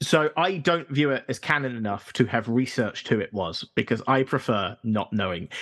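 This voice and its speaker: Medium-pitched male voice in a southern English accent, lively intonation, moderate pace and hardly any pauses. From London suburbs. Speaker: podcast guest. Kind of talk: casual chat.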